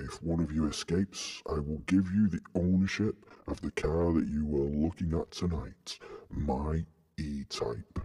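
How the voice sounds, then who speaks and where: Using a put-on character voice, a man speaks at a moderate pace. His pitch is very deep and low. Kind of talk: horror villain theatrics. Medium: read story. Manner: menacing, theatrical.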